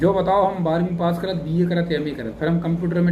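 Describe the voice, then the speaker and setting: A man's high voice in a Bundeli accent at a moderate pace, with audible room echo and noticeable background noise. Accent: Bundeli-accented Hindi. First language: Bundeli (speaking Hindi). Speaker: English teacher, YouTuber. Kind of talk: motivational talk to camera. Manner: casual, conversational dialect.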